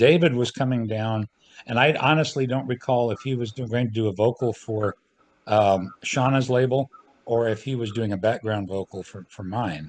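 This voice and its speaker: This man has an ordinary speaking voice, with medium pitch, ordinary pitch variation and a moderate pace. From Central California. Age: 60s. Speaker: square dance caller and recording artist. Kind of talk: casual interview chat.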